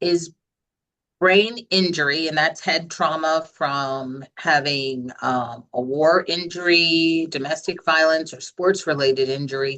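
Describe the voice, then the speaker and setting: A woman speaks very slowly and loudly with an American accent. Her very deep, low voice has a bright, sharp tone and ordinary pitch variation. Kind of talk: webinar Q&A.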